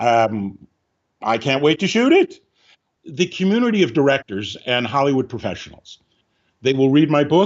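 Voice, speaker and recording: Moderate pace and lively intonation in an ordinary speaking voice. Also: man. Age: 60s. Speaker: film script supervisor and director. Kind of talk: interview.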